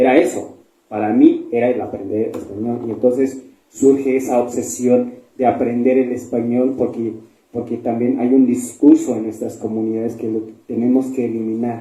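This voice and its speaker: Here a man speaks in a Chiapas accent at a moderate pace, his tone dark and mellow. His intonation is monotone and flat, with audible room echo around him. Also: medium pitch for a man. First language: Tseltal (speaking Spanish). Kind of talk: panel discussion at book fair. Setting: book fair event with audience.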